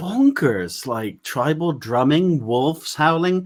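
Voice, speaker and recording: A man talks at a very slow pace in an American accent. The recording is very clean, with a silent background. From West Country England, Bath area. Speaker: paranormal investigator. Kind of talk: casual chat.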